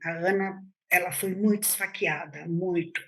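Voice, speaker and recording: A normal speaking voice from a woman, medium in pitch, with fairly even intonation. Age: 60s. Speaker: teacher, attack survivor. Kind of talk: interview testimony.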